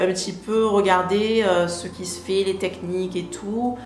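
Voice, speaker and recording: Noticeable background noise and audible room echo surround the voice. A woman talks with fairly even intonation. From southern France, Marseille. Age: 30s. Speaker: beauty youtuber. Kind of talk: casual Q&A vlog. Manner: hesitant, many filler pauses.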